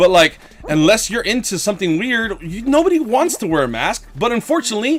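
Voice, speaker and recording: Over noticeable background noise, a man talks at a very fast pace with lively intonation and an animated tone. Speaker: gaming livestreamer. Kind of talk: casual livestream chat. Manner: slurred speech.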